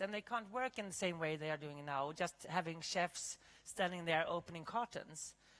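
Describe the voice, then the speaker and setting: With a Swedish accent, a woman speaks with very wide pitch swings. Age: 50s. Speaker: chef and keynote speaker. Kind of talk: keynote talk; panel Q&A answer. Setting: stage with audience.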